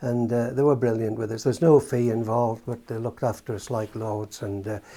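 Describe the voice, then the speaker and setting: A man with a Geordie accent talks fairly quickly at a medium pitch, in a dark, mellow tone with fairly even intonation. The recording is very clean, with a silent background. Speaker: retired brass band cornet player. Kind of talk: interview reminiscence. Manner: halting, with fillers and repeats.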